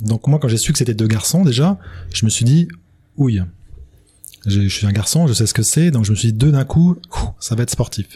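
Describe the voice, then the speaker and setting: A man at medium pitch, with a dark, mellow tone and a somewhat breathy quality, uses lively intonation and takes long, frequent pauses. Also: moderate pace. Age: 50s. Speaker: father of twins. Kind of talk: testimony. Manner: halting.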